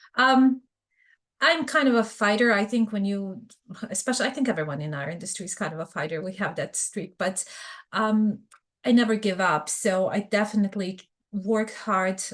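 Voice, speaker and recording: A woman speaks in a Bosnian accent at a moderate pace. Her pitch is medium, and her intonation is lively. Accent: Bosnian Serbian. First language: Serbian. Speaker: fraud prevention expert. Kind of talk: podcast interview.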